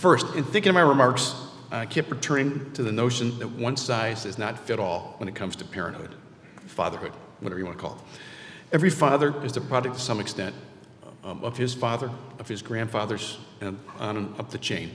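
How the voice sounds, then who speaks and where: A man speaks at a fairly quick pace with ordinary pitch variation and big swings in loudness. There is noticeable background noise and audible room echo. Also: medium pitch for a man. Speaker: award honoree. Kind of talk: award acceptance speech. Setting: stage with audience. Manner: fast; halting.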